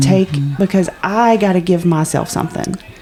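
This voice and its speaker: Noticeable background noise fills the clip. Over it, a woman talks with lively intonation. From Appalachia. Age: 40s. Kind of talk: casual podcast conversation.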